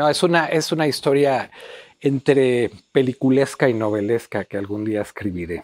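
A man with a Mexico City accent speaks at a moderate pace with lively intonation. The sound is dry with no echo, and the background is quiet. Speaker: writer and theatre teacher; theatre teacher. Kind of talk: interview. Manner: halting, many fillers. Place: home room. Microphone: lapel.

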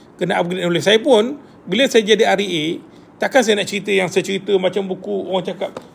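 A very fast, high-pitched man with a Malaysian accent, over light background noise. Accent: Malaysian Malay. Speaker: property agent and mentor. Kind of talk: live stream chat with viewers. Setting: live video stream. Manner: animated, chatty. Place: home room. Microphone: phone near.

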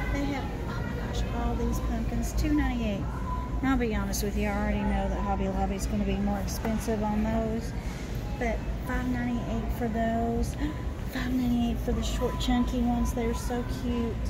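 Loud background noise runs under a woman talking at a moderate pace. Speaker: shopper vlogger. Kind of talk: casual vlog chat. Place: shop. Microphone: phone near.

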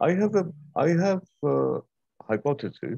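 Against a quiet background, a man speaks at a fairly slow pace in a dry sound with no echo. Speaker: seminar organizer and moderator. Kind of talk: academic seminar discussion. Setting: video call. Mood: thoughtful, conversational. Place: home room. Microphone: video call.

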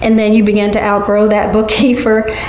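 The voice carries an audible room echo with light background noise. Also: woman. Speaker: guest. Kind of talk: interview answer. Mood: warm, friendly advice. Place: home room.

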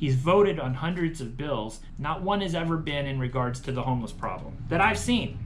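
A man at a fairly quick pace with ordinary pitch variation over music in the background. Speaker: candidate. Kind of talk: campaign speech to camera.

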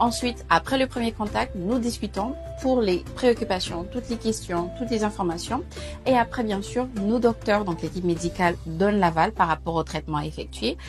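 Music is clearly audible behind a woman who talks at a moderate pace. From Gabon. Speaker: patient consultant. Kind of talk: casual talk to camera. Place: hall. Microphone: lapel.

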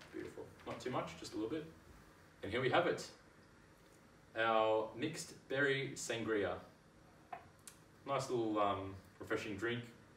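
Over light background noise and audible room echo, a man with a medium pitch and ordinary pitch variation speaks at a moderate pace with long, frequent pauses. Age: 20s. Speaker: home cocktail maker. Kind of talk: casual cooking tutorial to camera. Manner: slight stutter. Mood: cheerful, pleased. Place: kitchen. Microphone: camera far.

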